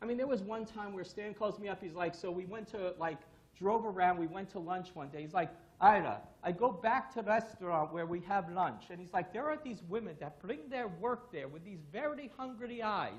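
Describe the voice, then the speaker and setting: Someone speaks at a moderate pace in a New York accent, with an animated tone and lively intonation. Audible room echo surrounds the voice. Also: man, high pitch for a man, big swings in loudness. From New York, Brooklyn. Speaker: security consultant, conference speaker. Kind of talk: conference talk.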